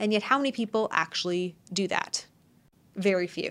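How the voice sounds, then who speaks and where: The recording is very clean, its background silent. An unremarkable speaking voice moves at a moderate pace. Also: woman. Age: 20s. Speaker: podcast host and business executive. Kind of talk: solo podcast monologue. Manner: casual, conversational.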